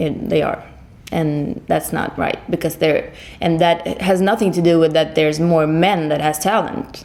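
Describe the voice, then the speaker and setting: Noticeable background noise around a woman's fairly low voice, fairly even intonation and a moderate pace. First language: Swedish. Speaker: singer. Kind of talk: interview. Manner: halting.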